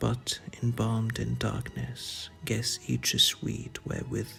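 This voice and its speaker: Soft-spoken and gentle in tone, a man talks at a very slow pace with music playing in the background. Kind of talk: poetry reading. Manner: soft-spoken, gentle.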